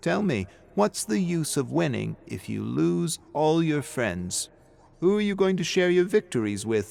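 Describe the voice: A man performs a put-on character voice with vocal fry and a slightly mellow tone. He moves at a fairly slow pace with big pitch swings. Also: fairly high pitch for a man.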